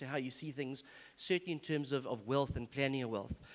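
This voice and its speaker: At a very fast pace, a man rattles through his words. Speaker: seminar speaker. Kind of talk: church seminar talk.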